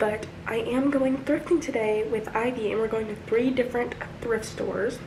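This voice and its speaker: A quiet woman at a moderate pace with fairly even intonation, audible room echo and noticeable background noise. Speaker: lifestyle vlogger. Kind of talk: casual vlog. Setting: in a car.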